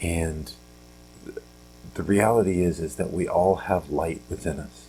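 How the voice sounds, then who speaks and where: A quiet man with a very deep, low pitch, fairly slow pace and ordinary pitch variation. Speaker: podcast host. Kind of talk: casual motivational talk. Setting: at home, early morning. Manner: quiet, hushed; halting, many fillers.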